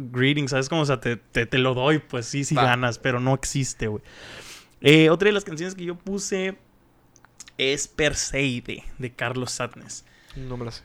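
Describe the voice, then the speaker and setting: Here is a man with a plain, everyday voice at a medium pitch. His pace is fairly slow. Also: ordinary pitch variation. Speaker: podcast host. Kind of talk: casual chat. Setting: studio.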